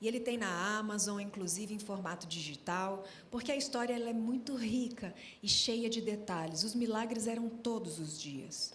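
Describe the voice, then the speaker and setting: Through audible room echo and noticeable background noise, a woman speaks at a moderate pace and fairly high pitch with ordinary pitch variation. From Brasília, Brazil. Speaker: gospel singer. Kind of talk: testimony.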